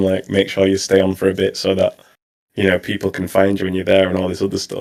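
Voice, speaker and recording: In a British accent, a man speaks with a fairly low pitch. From England. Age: 30s. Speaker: streamer. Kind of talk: interview.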